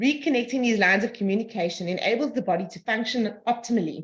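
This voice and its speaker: Somewhat breathy, a woman talks at a fairly quick pace with lively intonation. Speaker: energy healing practitioner. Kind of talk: reading aloud; group video call discussion. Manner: fast.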